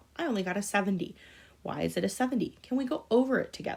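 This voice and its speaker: This woman's words come out at a very fast pace. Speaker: school teacher. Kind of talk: recorded lesson.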